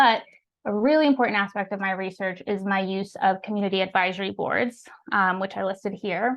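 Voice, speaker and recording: A woman at medium pitch with ordinary pitch variation and a fairly quick pace. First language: Spanish. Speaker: researcher, speaker. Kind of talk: academic lecture.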